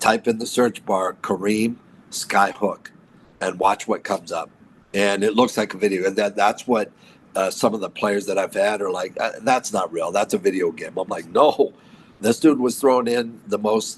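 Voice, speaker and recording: An American accent from a man with a fairly low pitch, an animated tone and a moderate pace. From Southern California, Los Angeles. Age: 60s. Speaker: basketball coach. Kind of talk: interview. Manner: animated, repeats words.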